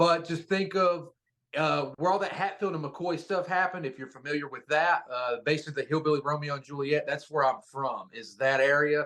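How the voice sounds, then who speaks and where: A man with an American accent talks at a fairly quick pace and a fairly high pitch, with ordinary pitch variation. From Eastern Kentucky (Pikeville), US Appalachia. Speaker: professional wrestler. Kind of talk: interview. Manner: casual, filler-heavy (uh, um, like).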